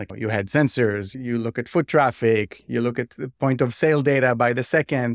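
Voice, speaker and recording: Recorded very cleanly against a silent background, with a dry, close sound and no echo, a man with a normal speaking voice talks at a moderate pace and medium pitch, with fairly even intonation and hardly any pauses. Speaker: economic historian and real estate developer. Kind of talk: casual interview conversation.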